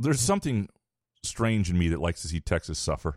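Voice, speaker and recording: Lively intonation from a man at a fairly low pitch, dry and close with no echo, on a very clean recording with a silent background. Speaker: sports radio host. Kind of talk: casual chat.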